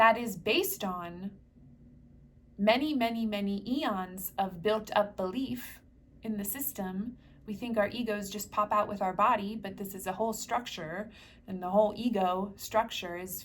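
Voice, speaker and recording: This woman has a medium pitch, a somewhat breathy voice and an American accent. Her pitch varies in an ordinary way, while her loudness swings widely. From US Northeast, New Jersey. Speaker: spiritual healer. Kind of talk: guided meditation talk. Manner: fast; casual with fillers.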